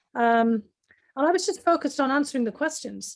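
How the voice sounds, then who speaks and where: Her pace very fast, a woman speaks with a North East English accent and lively intonation. The recording is very clean, with a silent background. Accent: broad North East English. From North East England. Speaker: foreign affairs specialist. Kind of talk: interview answer.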